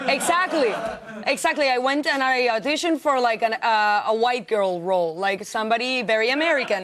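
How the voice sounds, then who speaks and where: With crowd noise in the background, a woman with a Spanish accent speaks at a high pitch and a fairly quick pace, using lively intonation and very even loudness. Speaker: actress. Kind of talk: TV interview. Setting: TV studio.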